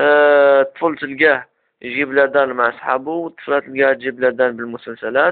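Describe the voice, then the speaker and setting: A man with an Algerian accent speaks at a moderate pace in a fairly high pitch. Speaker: self-development web show host. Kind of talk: casual advice talk to camera.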